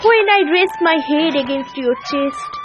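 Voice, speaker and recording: A woman with an extremely high pitch speaks at a very slow pace with lively intonation. Music plays in the background. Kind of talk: poetry reading.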